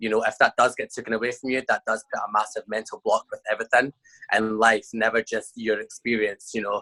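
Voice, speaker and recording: The recording has a dry, close sound with no echo. A man speaks in it at a fairly quick pace. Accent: Scottish. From Scotland. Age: 20s. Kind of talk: interview answer.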